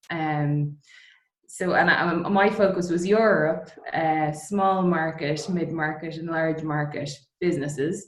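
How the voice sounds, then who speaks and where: Speaking at a fairly slow pace, a woman with an Irish accent uses a fairly low pitch and fairly even intonation. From Ireland, Dublin. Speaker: distillery co-founder. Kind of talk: interview. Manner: hesitant, many fillers.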